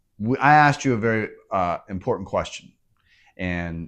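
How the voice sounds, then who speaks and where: Against a quiet background, a man with an unremarkable speaking voice talks at a fairly slow pace and fairly low pitch. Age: 50s. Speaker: podcast host. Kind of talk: podcast interview.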